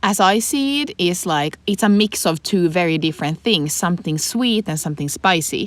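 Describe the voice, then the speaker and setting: A woman with a Swedish accent speaks at a fairly slow pace and a medium pitch on a very clean recording with a silent background. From Finland. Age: 20s. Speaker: podcast co-host. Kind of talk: casual chat.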